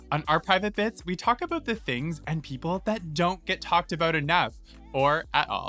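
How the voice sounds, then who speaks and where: The tone is upbeat at a moderate pace. Music plays in the background. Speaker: podcast host. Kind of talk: podcast intro.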